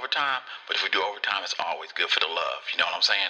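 Noticeable background noise accompanies a man talking at a very fast pace. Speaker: radio host. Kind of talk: radio promo and interview.

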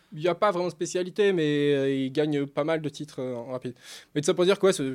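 A man talking at a very fast pace, very clean recording with a silent background. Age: 30s. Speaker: professional poker player. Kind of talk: casual chat.

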